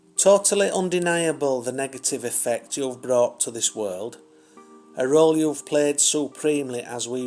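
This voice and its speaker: Music plays behind a man speaking at a fairly slow pace. His pitch varies in an ordinary way. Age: old. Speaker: spiritual poet. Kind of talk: poetry reading.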